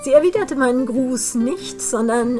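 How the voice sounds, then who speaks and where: A high-pitched woman at a fairly slow pace, with clear music in the background. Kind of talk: literary reading. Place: home room. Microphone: webcam.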